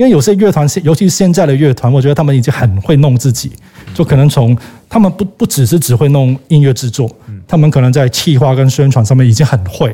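In a Cantonese accent, a man speaks very fast with a dark, mellow tone, a fairly high pitch, a somewhat breathy quality, lively intonation and very even loudness. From Hong Kong. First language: Cantonese (speaking Chinese). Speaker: record label owner. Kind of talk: casual chat.

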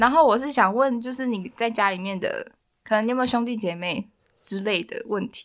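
A woman talks in a normal speaking voice at a fairly quick pace. Her pitch is fairly high with ordinary pitch variation. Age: 20s. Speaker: university student. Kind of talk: casual chat.

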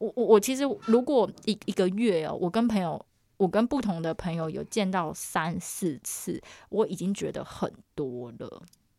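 A woman's dark, mellow tone with vocal fry, at a medium pitch and moderate pace, with lively intonation and a very clean recording with a silent background. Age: 30s. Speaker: podcast co-host. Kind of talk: casual chat. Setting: room with acoustic foam. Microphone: new upgraded equipment, own microphone.

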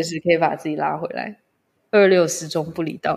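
Speaking at a fairly quick pace, a woman has an unremarkable speaking voice pitched fairly low. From Malaysia. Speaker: spiritual guide. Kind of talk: casual interview chat. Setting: remote recording.

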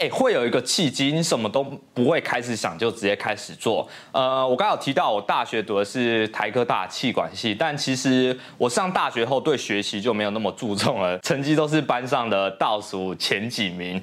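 A man with a Taiwanese accent, medium pitch, ordinary pitch variation, and a moderate pace. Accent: Taiwanese Mandarin. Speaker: YouTuber. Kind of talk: casual vlog monologue. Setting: home studio. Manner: casual, filler-heavy.

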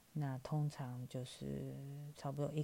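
A woman speaks with a Taiwanese accent. Her very deep, low pitch has a dark, mellow tone. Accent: Taiwanese Mandarin. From Taiwan, Taipei. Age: 40s. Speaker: podcast host. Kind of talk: storytelling. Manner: casual with many fillers.

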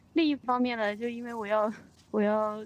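A woman speaks at a fairly high pitch and a moderate pace, with fairly even intonation. Hers is an unremarkable speaking voice. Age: young. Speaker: podcast co-host. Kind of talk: casual chat.

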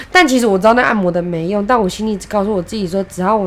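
A woman talks at a very fast pace with noticeable background noise behind her. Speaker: podcast co-host. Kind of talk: casual chat.

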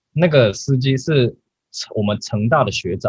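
A man speaks with a somewhat breathy voice. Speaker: podcast host. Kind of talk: casual chat. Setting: online call.

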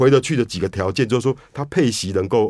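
A man at a moderate pace. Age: 50s. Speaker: investment newsletter editor. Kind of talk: radio interview.

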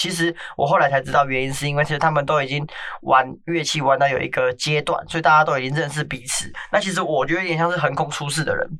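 Speech races along at a very fast pace over noticeable background noise. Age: 20s. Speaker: podcast host. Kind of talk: casual chat.

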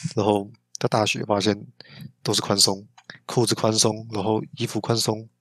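A man speaks in a fairly low pitch with monotone, flat intonation. Long, frequent pauses break up his speech. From Taiwan, New Taipei. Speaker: podcast co-host, university student. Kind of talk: casual chat.

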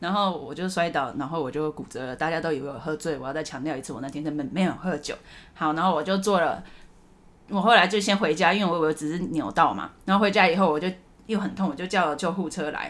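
A woman's fairly low voice at a very fast pace. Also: ordinary pitch variation. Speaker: podcast host. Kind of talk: casual chat. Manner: animated.

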